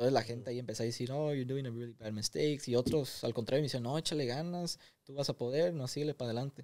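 Over a quiet background, a man rushes along at a very fast pace with hardly any pauses, fairly even intonation and a dark, mellow tone. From Los Angeles, Mexican family from Nayarit. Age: young. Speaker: young entrepreneur; podcast guest. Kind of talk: interview, casual chat. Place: studio. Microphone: studio mic.

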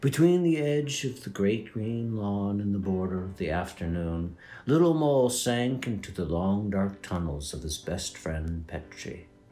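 Over faint background music and audible room echo, a man with a fairly low pitch and a dark, mellow tone talks at a fairly slow pace with lively intonation.

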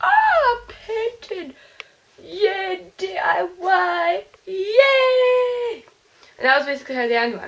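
A woman speaks at an extremely high pitch and a very slow pace, her pitch swinging very widely and her loudness rising and falling a great deal. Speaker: vlogger. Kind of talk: casual talk to camera. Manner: upbeat. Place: home room. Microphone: webcam.

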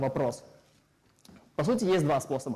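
Against a quiet background, a man's voice sounds dark and mellow. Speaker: lecturer. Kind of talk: lecture. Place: hall.

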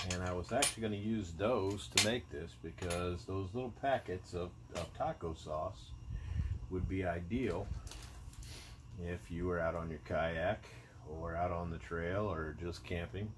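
A man speaks with a very deep, low pitch and vocal fry. Noticeable background noise runs behind him. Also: ordinary pitch variation, fairly slow pace. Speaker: outdoor cooking vlogger. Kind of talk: casual cooking tutorial. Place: garden. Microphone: phone near.

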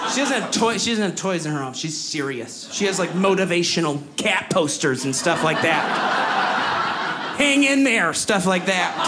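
Over loud background noise, a man speaks at a moderate pace with hardly any pauses. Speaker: stand-up comedian. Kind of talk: stand-up comedy routine. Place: stage. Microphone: handheld.

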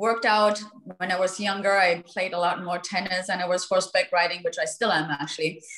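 A woman with a German accent at a moderate pace, monotone and flat in intonation, with audible room echo. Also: quiet background. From Germany. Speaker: real estate agent; guest. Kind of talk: panel discussion; interview answer. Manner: halting. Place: home room. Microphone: video call.

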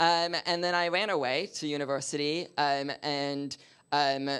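Over a quiet background, a man with a Canadian accent talks in an ordinary speaking voice, fairly high in pitch with fairly even intonation. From Canada. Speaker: diversity and inclusion consultant; speaker. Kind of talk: panel discussion. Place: meeting room.

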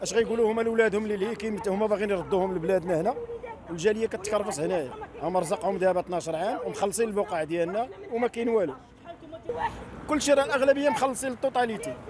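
A man's very fast, high-pitched speech, dry with no echo, over crowd noise in the background. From Morocco. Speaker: protester, property buyer. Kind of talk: street interview testimony. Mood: aggrieved, complaining. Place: street. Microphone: handheld.

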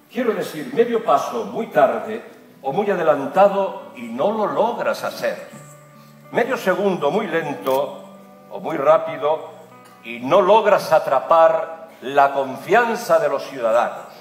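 A man talks at a very slow pace with very wide pitch swings, audible room echo, and faint music in the background. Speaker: announcer delivering a rally speech. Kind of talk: epic motivational political speech. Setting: political rally, public address. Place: hall.

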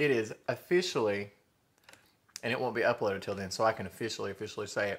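A man with a Southern US accent at a very fast pace. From US South. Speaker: food vlogger; mukbang vlogger. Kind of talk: mukbang eating show. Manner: animated. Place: home room. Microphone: phone near.

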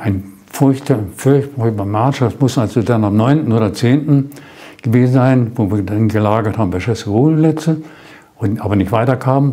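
This man has a dark, mellow tone and speaks at a moderate pace. His pitch varies in an ordinary way. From Germany. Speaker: war veteran. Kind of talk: interview answer. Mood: calm, reflective storytelling. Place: studio. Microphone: lapel.

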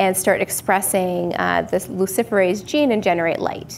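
Medium pitch and moderate pace from a woman over light background noise. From Canada, northern British Columbia. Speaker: clinical microbiologist; guest. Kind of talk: technical interview. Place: studio.

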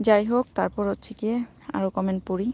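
A woman with an unremarkable speaking voice and fairly even intonation, recorded very cleanly in a dry, close sound with no echo and a silent background. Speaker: vlogger. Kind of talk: casual live stream chat. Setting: outdoors walking in a park.

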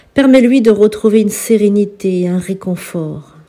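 Her tone is gentle, calm, dark and mellow. The woman speaks at a medium pitch and moderate pace with ordinary pitch variation. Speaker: spiritual healer and priestess. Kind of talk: healing prayer.

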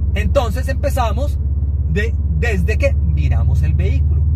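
Loud background noise surrounds a dry sound with no echo, and the speech moves at a fairly slow pace. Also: man. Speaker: car reviewer. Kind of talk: car review commentary. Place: car.

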